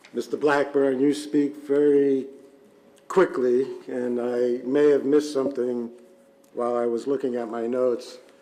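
Over noticeable background noise, a man speaks at a moderate pace in a medium pitch, his intonation monotone and flat. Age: old. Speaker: township supervisor. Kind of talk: public meeting questioning. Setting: township board meeting.

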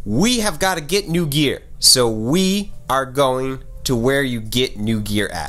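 A man is talking. His pitch swings very widely. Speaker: vlogger. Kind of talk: casual vlog chat. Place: office. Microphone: phone near.

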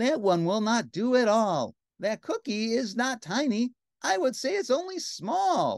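A woman puts on a character voice at a fairly slow pace, pitched fairly high with big pitch swings. Her tone is slightly mellow with vocal fry, in a dry, close sound with no echo.

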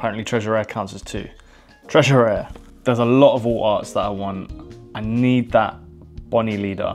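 A man with a British accent talks at a fairly quick pace but leaves long, frequent pauses. His intonation is fairly even, his loudness swings widely, and faint music plays in the background. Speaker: trading card game content creator. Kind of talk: casual talk to camera. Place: home room. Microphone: lapel.

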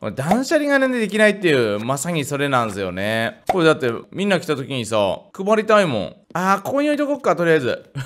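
A man's high voice at a fairly quick pace, with very wide pitch swings and hardly any pauses. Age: 30s. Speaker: gaming YouTuber. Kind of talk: casual gameplay commentary. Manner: animated.

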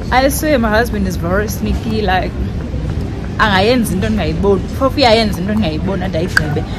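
A woman talks fairly quickly. Clear music sits in the background. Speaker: vlogger. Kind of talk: casual vlog chat. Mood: excited, surprised, laughing. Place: hall. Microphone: phone near.

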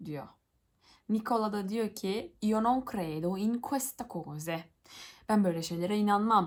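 A woman talks with lively intonation. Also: very clean recording, silent background. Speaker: YouTuber, Italian learner. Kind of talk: reading aloud with translation. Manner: halting.

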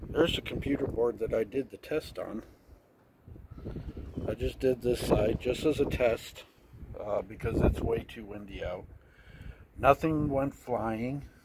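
A man speaking at a fairly slow pace over loud background noise. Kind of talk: casual vlog chat. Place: street. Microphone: phone near.

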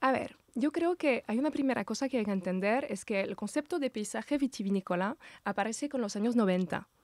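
In a quiet, dry setting with no echo, a woman speaks with a French accent in a fairly high voice. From Brittany, France. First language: French (speaking Spanish). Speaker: landscape architect, association president; interview guest. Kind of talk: interview. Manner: halting, many repetitions. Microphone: studio mic.

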